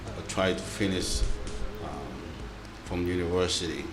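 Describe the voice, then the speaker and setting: A man with a Tongan accent at a moderate pace, ordinary pitch variation, and audible room echo. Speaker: community member, interviewee. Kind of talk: interview. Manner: halting.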